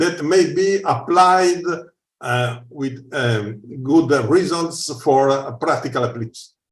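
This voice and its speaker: A man talks at a fairly slow pace with lively intonation. Audible room echo surrounds his voice. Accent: Italian. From Italy. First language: Italian. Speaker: researcher. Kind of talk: conference Q&A. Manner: halting.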